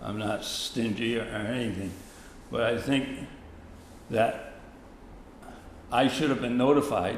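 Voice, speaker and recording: A man with an American accent, fairly slow and fairly even in intonation, with long, frequent pauses and audible room echo. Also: medium pitch for a man. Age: 80s+. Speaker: resident giving public input. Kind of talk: public meeting comment. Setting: town hall meeting.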